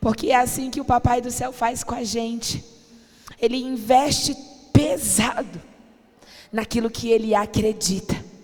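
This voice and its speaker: Over music in the background, the speaker moves at a fairly slow pace with long, frequent pauses, fairly even intonation and big swings in loudness. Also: woman, fairly high pitch for a woman. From Brazil, family from the Northeast. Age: 30s. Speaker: pastor. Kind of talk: sermon. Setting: church.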